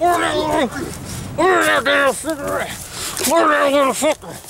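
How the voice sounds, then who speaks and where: A man's put-on character voice, raised and projected, over clear background noise. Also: fairly quick pace. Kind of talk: comic overacting. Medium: comedy sketch. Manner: loud, crude, repetitive.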